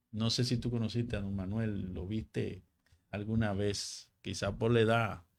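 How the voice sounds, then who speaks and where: A man with a Dominican accent and a fairly low pitch, on a very clean recording with a silent background. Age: 60s. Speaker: local party leader. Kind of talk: interview.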